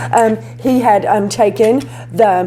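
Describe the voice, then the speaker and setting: Set against audible room echo and noticeable background noise, a woman speaks at a medium pitch in an animated tone. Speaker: beauty vlogger. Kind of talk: tutorial. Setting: home garage studio. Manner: loud. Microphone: cheap lapel mic, distorts when loud.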